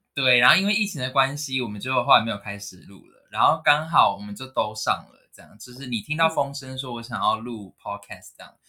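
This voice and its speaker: A man talks at a very fast pace with hardly any pauses, his medium pitch showing ordinary variation. His tone is bright and sharp, and his loudness swings widely. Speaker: podcast co-host. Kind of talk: casual chat. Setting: home room without air conditioning.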